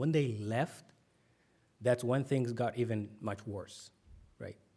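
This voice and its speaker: Using fairly even intonation, a man with a Somali accent speaks in a dark, mellow tone. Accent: Somali accent, P and B sound alike. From Somalia. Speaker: author. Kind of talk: conference talk. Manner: many fillers (um, uh).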